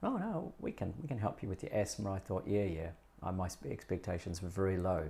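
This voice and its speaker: Somewhat breathy and dark, mellow in tone, a man speaks fairly quickly at a fairly low pitch with lively intonation. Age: 60s. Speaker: breathing educator. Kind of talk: interview.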